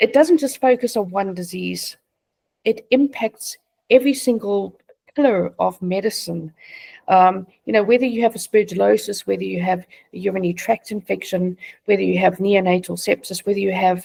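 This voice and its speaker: Here a woman speaks in a South African accent at a moderate pace, her medium pitch moving with ordinary variation. The tone is dark and mellow, and the sound is dry and close with no echo. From South Africa, Johannesburg. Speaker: patient advocate, charity founder. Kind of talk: interview.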